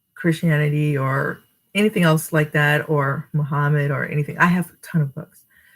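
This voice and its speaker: A woman speaks at a very deep, low pitch. Her voice is somewhat breathy. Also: moderate pace. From New Jersey. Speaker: storytime reader. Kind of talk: reading aloud; casual chat. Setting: live stream.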